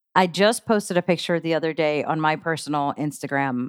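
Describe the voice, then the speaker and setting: This woman talks at a moderate pace in a very deep, low pitch. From grew up partly abroad, moved to the US as a child. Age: 40s. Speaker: local music promoter and musician. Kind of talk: casual chat.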